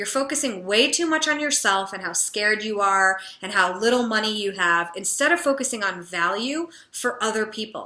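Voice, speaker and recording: Loud and animated, a woman speaks at a moderate pace with a fairly high pitch, lively intonation, and a bright, sharp tone. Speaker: confidence and business coach. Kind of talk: motivational talk to camera.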